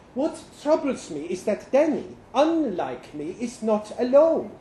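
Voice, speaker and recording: Through noticeable background noise, a man with an extremely high pitch speaks at a fairly slow pace. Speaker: performer reading a short story aloud. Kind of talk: literary audiobook reading, first-person story narration. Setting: stage with audience at live storytelling event.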